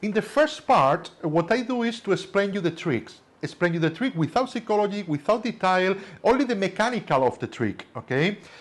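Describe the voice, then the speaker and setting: A high male voice with a strong Spanish accent, fairly quick and with lively intonation. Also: quiet background. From Spain. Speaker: magician teaching tricks. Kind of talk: lecture.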